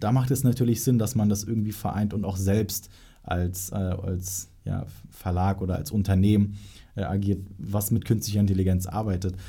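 This man's fairly low voice has a dark, mellow tone, somewhat breathy, delivered at a moderate pace with fairly even intonation. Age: young. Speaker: podcast host, marketing agency. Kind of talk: interview.

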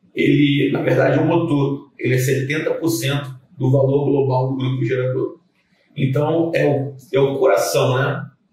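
Fairly high male voice, monotone and flat, at a fairly slow pace amid audible room echo. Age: 30s. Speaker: generator technician and sales manager. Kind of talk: casual interview.

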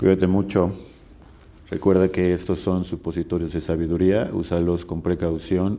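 A man's very deep, low voice, dark and mellow, fairly slow, with monotone, flat intonation. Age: 30s. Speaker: podcast host. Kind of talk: solo monologue podcast. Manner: casual, with hesitations.

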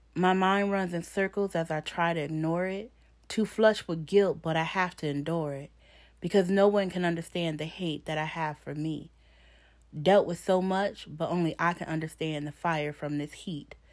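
A woman talks at a moderate pace in a normal speaking voice, fairly low-pitched with fairly even intonation. The recording is very clean, with a silent background. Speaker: poet. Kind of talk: spoken-word poem performed, confessional and rhythmic with rhyme. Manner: intense, emotional, delivered in a rhythmic cadence; raw and pained, with a defiant edge.

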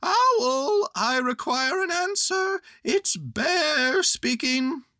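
A loud, squeaky put-on character voice with a high pitch drags along at a very slow pace. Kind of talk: formal, insistent. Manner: calling out, loud.

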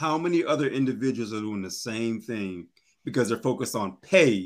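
In a very clean recording with a silent background, a man speaks in a normal speaking voice at medium pitch, at a moderate pace and with lively intonation. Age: 30s. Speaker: realtor, life coach and poet. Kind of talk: podcast conversation.

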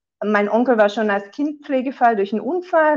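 The speaker is a woman. Her voice sits fairly high. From southern Germany. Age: 40s. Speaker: insurance broker. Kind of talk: interview.

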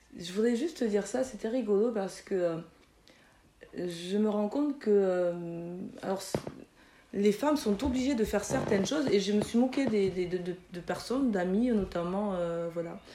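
The speaker talks at a fairly slow pace, with long, frequent pauses. Noticeable background noise sits behind the voice. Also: woman, medium pitch for a woman, ordinary pitch variation. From France, Toulouse (Mirail), Chadian parents. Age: 40s. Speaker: physiotherapist. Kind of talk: interview.

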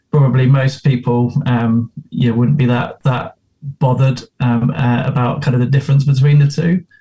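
A man with an English accent speaks at a moderate pace and a medium pitch, his intonation fairly even. His tone is dark and mellow, and somewhat breathy. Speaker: golf club member and guest. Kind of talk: casual chat. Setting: video call.

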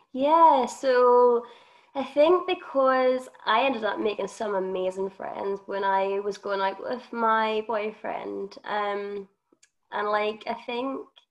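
Very slow, lively speech from a woman with a fairly high voice and a Northern Irish accent. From Northern Ireland. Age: 20s. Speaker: podcast co-host. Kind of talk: testimony.

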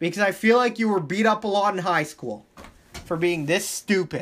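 The voice has an animated tone and ordinary pitch variation. It moves at a moderate pace. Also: man. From Thailand. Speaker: sports podcast host. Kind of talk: casual solo podcast commentary. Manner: animated, heated rants.

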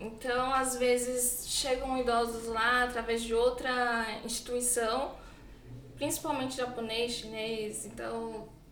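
A woman speaks very slowly in a high, flat monotone. The room echoes audibly, and background noise is noticeable. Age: 20s. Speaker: nursing home caregiver. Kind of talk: casual interview.

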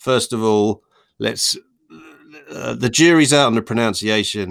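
On a very clean recording with a silent background, a man with a Norfolk accent talks at a moderate pace with ordinary pitch variation. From Norfolk, England. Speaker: podcast host. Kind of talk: casual banter about films. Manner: jokey, irreverent.

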